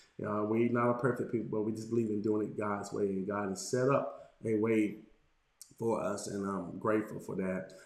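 The delivery is monotone and flat at a moderate pace. Echo from the room is audible. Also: man, fairly low pitch for a man. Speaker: pastor. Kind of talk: sermon. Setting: livestream with chat.

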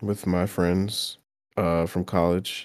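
A man with an ordinary speaking voice, fairly low in pitch. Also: very clean recording, silent background. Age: 20s. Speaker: gamer guest. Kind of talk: casual chat.

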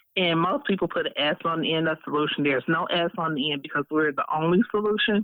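A woman with a fairly low pitch and ordinary pitch variation speaks very fast with hardly any pauses, her loudness staying very even. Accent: American. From Alabama, then Detroit from age 10. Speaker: business owner. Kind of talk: interview.

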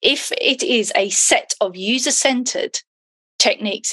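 The woman has a bright, sharp tone and a southern English accent. Her voice sounds dry and close, with no echo. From England. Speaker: content design agency founder. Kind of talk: casual interview. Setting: at home, remote call.

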